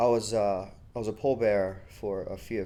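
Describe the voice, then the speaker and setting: A man's dark, mellow, monotone voice with flat intonation and audible room echo. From Egypt. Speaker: war veteran. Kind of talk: oral history interview. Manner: casual, many fillers.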